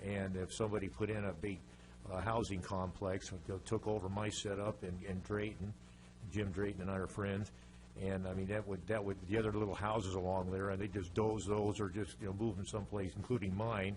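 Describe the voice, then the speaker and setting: Somewhat breathy and fairly low-pitched, a man talks at a fairly quick pace amid audible room echo. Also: fairly even intonation. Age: 70s. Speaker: resident speaking at public comment. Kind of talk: public comment at city council meeting. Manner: halting, many fillers and repetitions.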